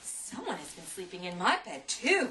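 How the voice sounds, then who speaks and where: A female-sounding, put-on character voice at medium pitch and a moderate pace, with clear background noise. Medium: read story. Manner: huffy, growling.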